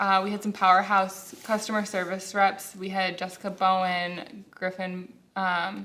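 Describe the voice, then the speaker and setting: A loud, medium-pitched woman's voice, monotone and flat, at a fairly slow pace with hardly any pauses. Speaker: customer service manager. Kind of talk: casual interview. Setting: workplace studio, in safety vests.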